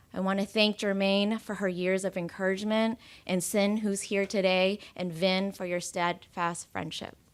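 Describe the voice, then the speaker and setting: A woman with a General American accent, monotone and flat in intonation, at a moderate pace, in a very clean recording with a silent background. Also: medium pitch for a woman. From US West Coast, Oakland. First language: Cantonese. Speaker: school board appointee. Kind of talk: acceptance speech.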